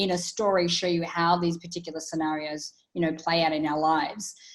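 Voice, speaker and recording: Speaking at a fairly quick pace, a woman with an Australian accent has a fairly low-pitched voice. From Australia, country town. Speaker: author and transformational speaker. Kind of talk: interview conversation.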